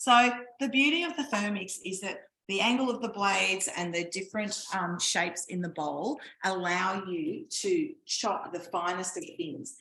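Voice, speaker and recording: A woman speaks with an Australian accent at a moderate pace, her pitch medium. Her tone is bright and sharp, and her intonation is lively. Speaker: cooking demonstrator. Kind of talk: live cooking class. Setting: home kitchen, online class.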